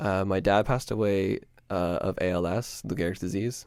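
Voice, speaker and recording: Fairly low-pitched speech from a man in a Canadian accent, with ordinary pitch variation. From Ontario, Canada (Peterborough). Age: 20s. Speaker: podcast host. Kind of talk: personal monologue. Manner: casual, hesitant with many fillers.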